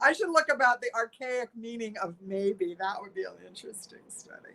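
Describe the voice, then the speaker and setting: A woman with a high pitch and a bright, sharp tone speaks at a moderate pace, animated, with very wide pitch swings and big swings in loudness. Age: 70s. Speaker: wellness teacher and Reiki practitioner. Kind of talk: podcast interview. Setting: live podcast recording.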